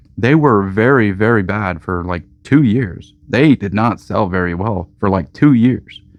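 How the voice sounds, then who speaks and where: This man speaks with a fairly low pitch at a fairly slow pace, and his pitch variation is ordinary. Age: 30s. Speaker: game store owner. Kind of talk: casual vlog monologue. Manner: animated.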